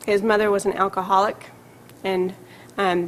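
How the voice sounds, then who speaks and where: Speaking at a fairly quick pace, a woman keeps her medium-pitched voice monotone and flat. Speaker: psychiatrist. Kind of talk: lecture. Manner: fast.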